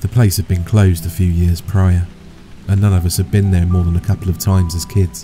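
Music plays in the background while a man speaks at a very deep, low pitch. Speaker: horror story narrator. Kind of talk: story narration.

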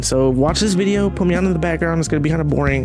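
A man at a very fast pace, dry sound with no echo, clear music in the background. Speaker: artist vlogger. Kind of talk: casual vlog chat. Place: home room. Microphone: studio mic.

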